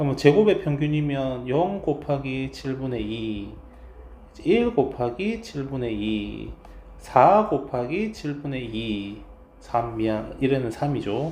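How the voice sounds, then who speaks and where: Speaking at a very slow pace, a man with a medium pitch and a dark, mellow, somewhat breathy tone uses lively intonation, with audible room echo around him. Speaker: math teacher. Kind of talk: lecture.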